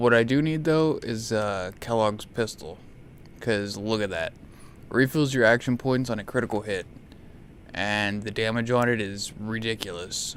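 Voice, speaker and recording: Soft-spoken and at a medium pitch, a man talks at a moderate pace with fairly even intonation. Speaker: gaming video creator. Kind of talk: gameplay commentary. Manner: soft-spoken in spots; starts loud then lowers volume.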